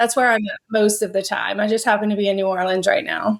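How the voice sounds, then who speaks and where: The recording is very clean with a silent background, and a woman speaks in an American accent. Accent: Southern US, untypical. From southern Louisiana, US. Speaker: grief coach. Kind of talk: interview conversation.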